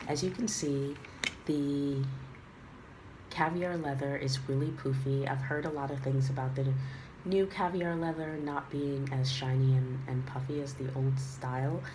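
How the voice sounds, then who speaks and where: Somewhat breathy and very deep in pitch, a woman speaks at a fairly slow pace with fairly even intonation. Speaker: handbag reviewer. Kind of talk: casual talk to camera.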